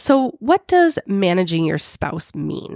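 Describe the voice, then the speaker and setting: A woman talks very slowly, the sound dry and close with no echo. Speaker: podcast host, life coach. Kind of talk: podcast monologue.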